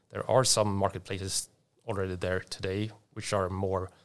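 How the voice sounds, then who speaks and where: In a very clean recording with a silent background, the speaker talks with a Swedish accent. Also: man. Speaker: tech company executive. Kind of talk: interview. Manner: halting.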